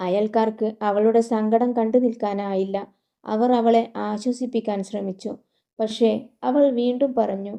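Against a quiet background, someone reads in an unforced reading voice.

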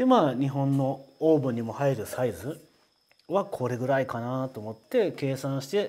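This man has a medium-pitched voice with ordinary pitch variation. He talks at a moderate pace. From Japan. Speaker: potter presenting his own work. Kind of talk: casual product introduction video. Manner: casual, conversational. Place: studio. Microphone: lapel.

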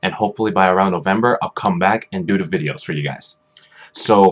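At a fairly quick pace, a man is talking. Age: 20s. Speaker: gaming YouTuber. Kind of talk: casual vlog update. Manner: halting, many fillers. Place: home room. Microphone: webcam.

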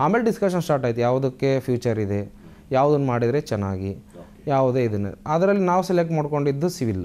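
A man's fairly high voice, dark and mellow in tone, with very wide pitch swings. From India, north Karnataka (Haveri district, Ranebennur); Karnataka, India. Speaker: newly selected police sub-inspector, engineering graduate; candidate. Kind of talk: interview. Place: studio. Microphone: lapel.

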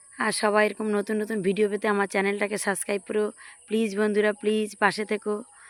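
With a dry, close sound and no echo, a woman speaks at a fairly high pitch in a monotone, flat intonation. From Sundarbans, West Bengal. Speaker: village lifestyle vlogger. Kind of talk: casual vlog narration. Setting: outdoors in a field.

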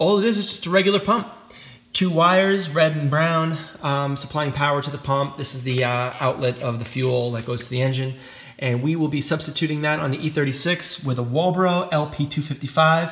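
With ordinary variation in pitch, the man talks at a moderate speed. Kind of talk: casual vlog chat. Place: garage. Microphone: phone near.

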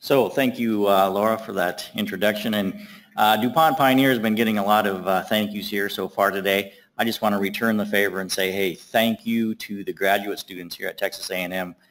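A normal speaking voice at a fairly quick pace, with fairly even intonation. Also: man, fairly low pitch for a man. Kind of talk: lecture. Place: hall.

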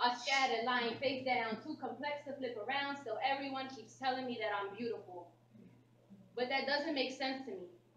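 A woman's high voice at a moderate pace, ordinary pitch variation, audible room echo and light background noise. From US Northeast, Philadelphia. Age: 20s. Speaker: spoken word poet. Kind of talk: spoken word performance. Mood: intense, reflective, defiant. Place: hall. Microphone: camera far.

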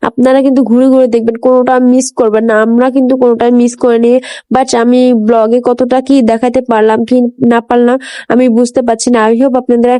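A woman with a dark, mellow tone speaks at a high pitch. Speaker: lifestyle vlogger. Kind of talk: vlog narration. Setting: outdoors at a zoo. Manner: animated.

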